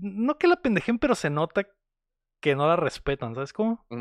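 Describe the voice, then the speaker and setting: A man with a Mexican accent and an animated tone, at a moderate pace, in a dry, close sound with no echo against a quiet background. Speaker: podcast host, film reviewer. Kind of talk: casual chat.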